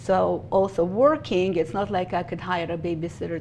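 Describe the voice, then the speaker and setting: Noticeable background noise surrounds this recording. A woman with a fairly low pitch speaks in a Russian accent. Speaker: bookkeeper and business founder. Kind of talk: interview.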